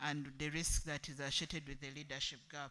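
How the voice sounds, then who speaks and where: A soft-spoken man talks at a fairly quick pace. His tone is bright and sharp. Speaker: workshop group delegate. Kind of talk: group presentation.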